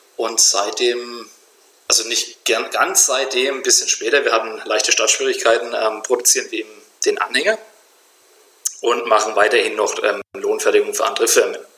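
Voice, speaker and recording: Over noticeable background noise, a man talks with long, frequent pauses. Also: moderate pace. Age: 30s. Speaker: entrepreneur, trailer manufacturer. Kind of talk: interview.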